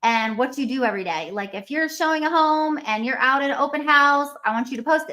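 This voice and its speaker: A woman projects a raised, high voice with a bright, sharp tone, lively intonation and a moderate pace. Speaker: real estate coach. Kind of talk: webinar presentation.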